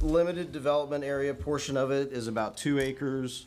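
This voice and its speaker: A man speaking at a moderate pace with ordinary pitch variation. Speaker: site engineer. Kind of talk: technical presentation. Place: meeting room. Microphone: podium.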